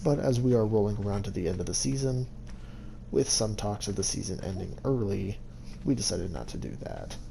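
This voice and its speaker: With audible room echo in the recording, a man talks at a fairly quick pace using lively intonation. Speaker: gaming youtuber. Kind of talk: game walkthrough narration. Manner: halting.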